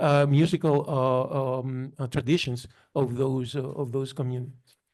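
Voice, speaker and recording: A man with a non-native accent speaks at a moderate pace with a medium pitch and monotone, flat intonation. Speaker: historian. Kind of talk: panel discussion. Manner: halting.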